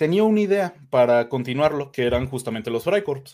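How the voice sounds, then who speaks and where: Speaking at a moderate pace, a man with a fairly high voice uses lively intonation. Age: 20s. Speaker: history student and co-host. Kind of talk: live-stream chat.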